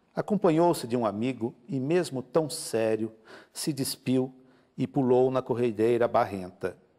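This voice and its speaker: A man's dark, mellow voice with lively intonation, a fairly slow pace and a quiet background. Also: medium pitch for a man. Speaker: author and photographer; guest. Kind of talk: interview. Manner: halting, hesitant. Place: studio.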